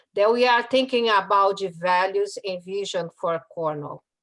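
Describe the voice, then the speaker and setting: In a strong Brazilian accent, a woman speaks at a medium pitch with ordinary pitch variation. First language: Portuguese. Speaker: community resident speaker. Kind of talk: prepared public talk. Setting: video call.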